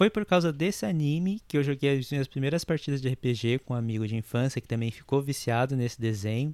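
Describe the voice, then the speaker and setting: Recorded very cleanly with a silent background and a dry, close sound with no echo, a man talks at a medium pitch and moderate pace with ordinary pitch variation. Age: 30s. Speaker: podcast host. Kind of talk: casual solo monologue. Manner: halting.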